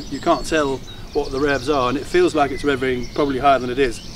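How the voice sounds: A man at medium pitch with clear background noise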